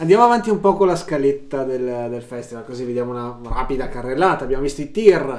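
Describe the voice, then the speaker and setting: Very fast delivery with lively intonation, hardly any pauses, big swings in loudness and noticeable background noise. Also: man, medium pitch for a man. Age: middle-aged. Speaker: podcast co-host and sound technician. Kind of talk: casual chat.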